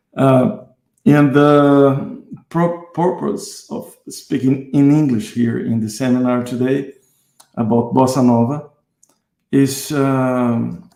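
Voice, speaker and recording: A man with a Brazilian accent speaks very slowly at a medium pitch, his tone dark and mellow and his pitch variation ordinary. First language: Portuguese. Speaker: guitarist and music teacher. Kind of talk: online seminar. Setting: online live stream. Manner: halting, many fillers.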